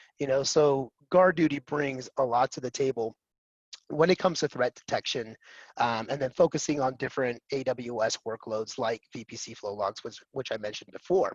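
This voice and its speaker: Recorded with a dry, close sound and no echo, a man with a medium pitch and ordinary pitch variation swings widely in loudness. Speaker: cloud security vendor presenter. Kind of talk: webinar presentation. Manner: fast.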